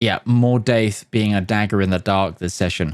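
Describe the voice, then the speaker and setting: In a very clean recording with a silent background, a man speaks at a moderate pace in a fairly low pitch with ordinary pitch variation. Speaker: game commentator. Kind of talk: live commentary. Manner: animated.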